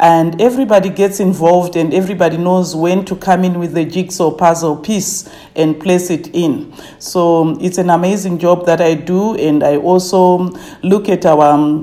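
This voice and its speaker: A woman with a fairly low pitch and fairly even intonation, against noticeable background noise. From Zimbabwe, village near Harare. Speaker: tourism company manager. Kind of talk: interview. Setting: her office, remote call.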